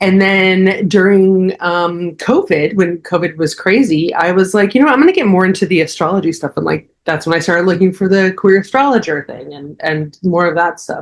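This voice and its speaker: In an American accent, a woman uses an unremarkable speaking voice at a medium pitch, moderate pace and ordinary pitch variation. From New Jersey. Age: 40s. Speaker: astrologer. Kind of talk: casual interview chat.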